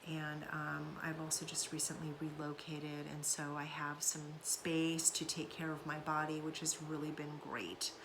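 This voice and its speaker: A woman speaks in a very deep, low voice at a fairly slow pace, her intonation monotone and flat. The room echo is audible, and background noise is noticeable. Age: 50s. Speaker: somatics content creator and author. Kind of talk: casual monologue vlog. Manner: hesitant, many fillers.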